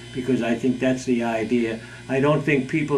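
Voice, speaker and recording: With an American accent, a man speaks at a moderate pace and medium pitch in a monotone, flat intonation, with noticeable background noise and audible room echo. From Boston area, US. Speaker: street singer. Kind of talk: documentary interview.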